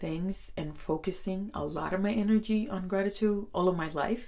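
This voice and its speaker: A woman with a Spanish accent speaks at a fairly slow pace and medium pitch, her dark, mellow tone carrying vocal fry. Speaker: podcast host. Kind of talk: self-help podcast talk.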